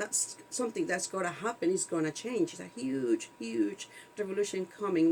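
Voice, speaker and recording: A woman speaks with a non-native accent. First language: not English. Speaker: video podcast co-host. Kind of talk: casual chat. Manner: halting, many fillers.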